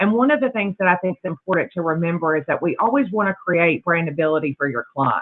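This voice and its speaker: A woman talks very fast with hardly any pauses, her fairly low voice swinging very widely in pitch. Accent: Southern US. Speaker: sales executive. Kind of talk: sales presentation.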